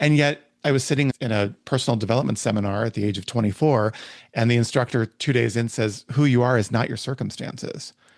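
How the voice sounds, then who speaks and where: A man with a medium pitch talks at a very fast pace with ordinary pitch variation against a quiet background. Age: 60s. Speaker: podcast host. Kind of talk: casual chat.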